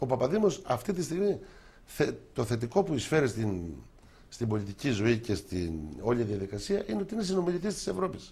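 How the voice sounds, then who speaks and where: A man speaks at a fairly quick pace in a dark, mellow tone with vocal fry. His pitch swings very widely. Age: 60s. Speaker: politician. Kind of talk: TV interview.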